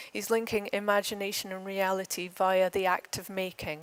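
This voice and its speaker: A woman speaks with an Edinburgh accent. Her pace is fairly quick. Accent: Edinburgh (Scottish). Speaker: conference speaker, architecture academic. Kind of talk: conference lecture. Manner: hesitant at times.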